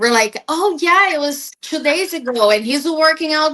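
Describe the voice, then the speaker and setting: Speaking with a Portuguese accent, a woman uses lively intonation and a bright, sharp tone at a moderate pace. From Brazil. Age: 40s. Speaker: podcast guest. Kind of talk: casual chat.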